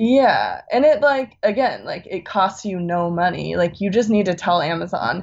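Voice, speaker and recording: Someone with an American accent talks at a moderate pace with hardly any pauses. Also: woman. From US West Coast, California Bay Area. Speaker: music enthusiast, former college radio host. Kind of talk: casual chat. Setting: video call.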